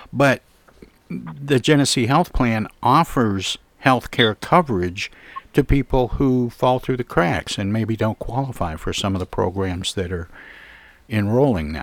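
Speaking at a fairly slow pace, a man with an unremarkable speaking voice and medium pitch uses lively intonation in a dry, close sound with no echo. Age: 60s. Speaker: radio host. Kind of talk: radio interview.

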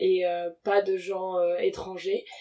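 A woman speaks with a dark, mellow tone. Her intonation is fairly even. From Congolese descent. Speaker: environmental campaigner and researcher. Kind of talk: interview. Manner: hesitant, many fillers.

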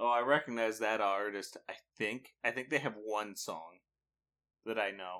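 Using a bright, sharp, playful tone, a man talks at a medium pitch with ordinary pitch variation. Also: moderate pace. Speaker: podcast co-host. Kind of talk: casual banter podcast. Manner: joking, playful, chatty.

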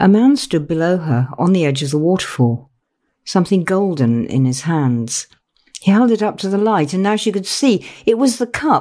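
A woman's dramatic, gentle, dark and mellow tone at medium pitch, very wide pitch swings, on a very clean recording with a silent background. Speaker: author and podcast host. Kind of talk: literary audiobook reading, unhurried fireside storytelling, hushed and intimate. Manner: slow, dramatic and hushed, with pauses and shifts in tone for each character; gentle, soothing, storyteller-like.

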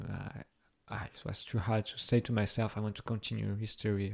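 A dark, mellow voice with a French accent, on a very clean recording with a silent background. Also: man. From Brazil. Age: 20s. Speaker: university student. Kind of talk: interview. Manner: halting.

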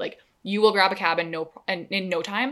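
A woman with a plain, everyday voice speaks at medium pitch and a fairly slow pace, her intonation fairly even, on a very clean recording with a silent background. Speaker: podcast co-host. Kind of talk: casual chat.

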